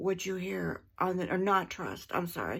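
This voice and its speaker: A woman speaks in a very clean recording with a silent background. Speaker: vlogger. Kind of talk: casual monologue vlog. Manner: slow; deliberate, pausing to choose words.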